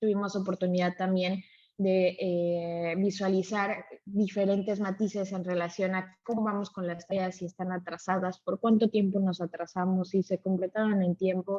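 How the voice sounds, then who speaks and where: A woman's medium-pitched voice with a dark, mellow tone, flat monotone intonation and a moderate pace, dry and close with no echo. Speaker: software trainer. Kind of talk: live webinar tutorial. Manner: frequent filler 'eh' hesitations.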